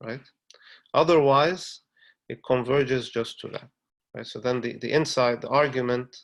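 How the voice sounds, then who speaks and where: A man speaks at medium pitch with fairly even intonation, big swings in loudness, and long, frequent pauses. The recording is very clean, with a silent background. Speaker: mathematician giving a seminar talk. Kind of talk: lecture. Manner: hesitant, many fillers and repetitions; slow.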